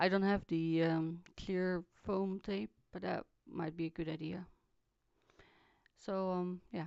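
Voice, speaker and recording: Soft-spoken and very slow, a woman speaks with fairly even intonation and long, frequent pauses. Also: fairly low pitch for a woman. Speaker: craft video maker. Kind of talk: tutorial voiceover. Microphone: too quiet recording.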